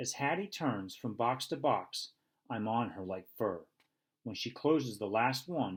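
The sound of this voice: Lively intonation in an unforced reading voice, the background quiet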